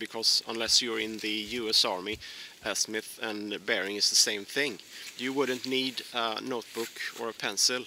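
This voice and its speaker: A man speaks with fairly even intonation. The sound is dry with no echo, and there is light background noise. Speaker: presenter. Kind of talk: tutorial. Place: forest. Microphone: phone near.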